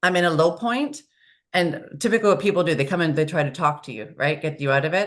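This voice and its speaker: A woman races along at a very fast pace, her fairly low voice full of lively intonation. The background is quiet. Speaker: HR consultant, founder. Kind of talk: podcast interview. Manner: loud.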